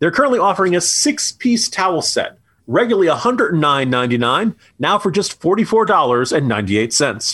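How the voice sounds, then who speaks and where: With an American accent, a man speaks at a fairly quick pace in a high pitch with a bright, sharp tone, very wide pitch swings and very even loudness against a quiet background. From New Jersey, US. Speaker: political commentator and podcast co-host. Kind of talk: casual political banter, news commentary; sponsor ad read. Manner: fluent, opinionated, sarcastic, many filler words; brisk, promotional, clear, reading promo code and phone number.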